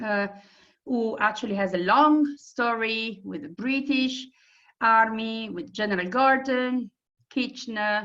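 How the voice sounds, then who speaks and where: An Italian accent at a fairly slow pace. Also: woman. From Italy. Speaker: tour operator presenter. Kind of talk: presentation.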